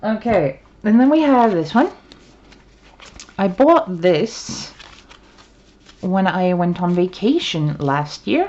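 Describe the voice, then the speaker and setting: Very slow woman's speech at medium pitch, with very wide pitch swings, long, frequent pauses and noticeable background noise. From Sweden. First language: Swedish. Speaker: tarot reader. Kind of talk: casual chat. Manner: halting. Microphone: poor sound quality.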